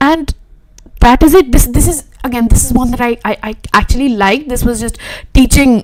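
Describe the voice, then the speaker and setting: With an Indian accent, a high-pitched woman speaks at a moderate pace over noticeable background noise. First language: Hindi. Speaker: web designer and YouTuber. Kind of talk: live stream reaction and chat. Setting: live stream. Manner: casual, repetitive, stammering. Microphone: poor audio quality.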